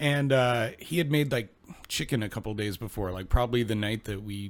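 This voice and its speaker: An ordinary speaking voice from a man, with ordinary pitch variation. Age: 30s. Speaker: podcast co-host. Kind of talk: casual chat.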